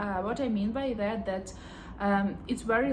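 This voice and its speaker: A woman's medium-pitched voice in a Ukrainian accent, over noticeable background noise. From Ukraine. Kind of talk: casual talk to camera.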